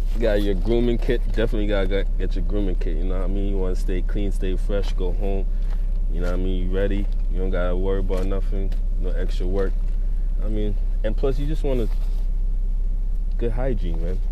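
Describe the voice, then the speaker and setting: Delivered at a fairly quick pace with very even loudness and ordinary pitch variation, the speech has a dry sound with no echo and noticeable background noise. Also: man, extremely high pitch for a man. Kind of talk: casual vlog chat. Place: car. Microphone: phone near.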